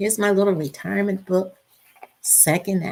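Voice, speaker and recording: A woman with a fairly low pitch talks at a moderate pace. Vocal fry runs through her voice. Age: 70s. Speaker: retired teacher, online business promoter. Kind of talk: live stream sales pitch. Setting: live video stream. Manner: halting, repetitive.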